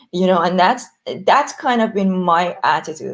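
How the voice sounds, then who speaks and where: Lively intonation runs through this voice with a non-native accent. The pace is moderate. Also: woman. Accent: foreign. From Iran. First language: Persian. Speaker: entrepreneur. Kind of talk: panel discussion. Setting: audio chat room. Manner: hesitant, many fillers.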